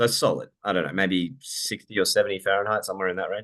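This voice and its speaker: The background is quiet. A man with a fairly low pitch speaks with an Australian accent. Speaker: software company CEO and IT business owner. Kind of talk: casual chat; product demo presentation.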